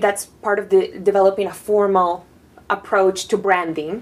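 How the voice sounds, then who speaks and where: A woman at a moderate pace, medium in pitch, with a Spanish accent. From Panama. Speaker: designer and artist. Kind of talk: interview. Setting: artist residency studio.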